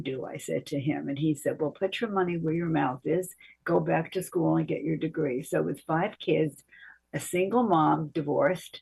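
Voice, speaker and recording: Speaking at a moderate pace, a woman with a fairly low pitch shows vocal fry. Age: 80s+. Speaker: psychotherapist and author. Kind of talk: interview. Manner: halting, with many fillers.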